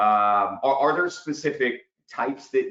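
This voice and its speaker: The pace runs fairly slow. It is a man talking. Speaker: webinar host, business development director. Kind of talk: webinar panel discussion. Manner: loud and boisterous.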